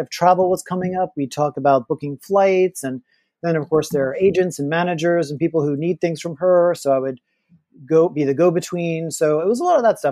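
The man's high voice carries a dark, mellow tone and ordinary pitch variation at a fairly quick pace, with a dry, close sound and no echo. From Louisiana. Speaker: novelist. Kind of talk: interview.

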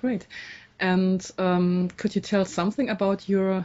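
A woman speaks with a German accent at a medium pitch. Her voice is somewhat breathy. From Dresden, East Germany. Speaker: interviewer. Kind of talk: interview. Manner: halting.

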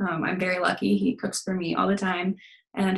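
A woman at a medium pitch, very fast, with vocal fry and a General American accent. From US, Denver, Colorado. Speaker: therapist. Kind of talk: casual interview chat.

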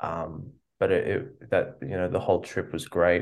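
At a fairly slow pace, a man with an Australian accent speaks in a very deep, low pitch. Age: 20s. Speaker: musician. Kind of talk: interview. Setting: video call.

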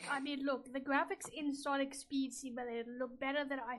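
Amid noticeable background noise, a woman with a high pitch talks at a fairly quick pace. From Indian heritage. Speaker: video game podcast co-host. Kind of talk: casual chat.

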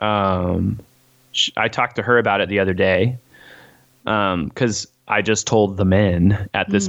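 A man with an American accent speaks at a fairly slow pace, his pitch fairly low with ordinary variation. It is an unremarkable speaking voice. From Missouri (Springfield). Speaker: musician, former worship and youth pastor. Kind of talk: casual interview chat.

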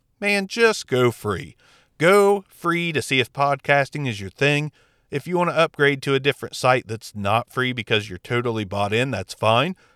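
A man at medium pitch speaks in a bright, sharp tone with very wide pitch swings. The recording is very clean, dry and close, with a silent background and no echo. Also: moderate pace. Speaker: podcast host reviewing audio gear. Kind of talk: gear review talk. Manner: casual, conversational.

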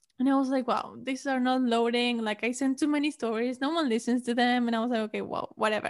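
On a very clean recording with a silent background, a woman with a Spanish accent talks at a very fast pace in a high pitch with monotone, flat intonation. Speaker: podcaster and college student. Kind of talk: casual interview.

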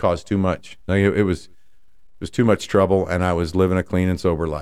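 In a very clean recording with a silent background, the speech moves at a fairly quick pace with fairly even intonation. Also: man. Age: 50s. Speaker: podcast host and life coach. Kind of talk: solo podcast monologue.

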